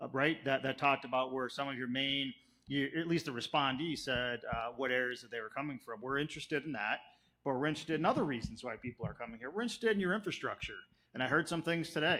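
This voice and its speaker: Speaking very fast with a Chicago accent, a man uses a fairly high pitch, ordinary pitch variation and a bright, sharp tone. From US Midwest, South Chicago. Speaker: planning consultant. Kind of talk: public presentation. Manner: animated.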